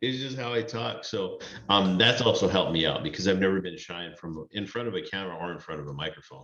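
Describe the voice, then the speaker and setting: A man talks at a very fast pace with fairly low pitch, lively intonation and big swings in loudness, over noticeable background noise. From US, Mexican-American. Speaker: food content creator. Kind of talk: casual interview chat.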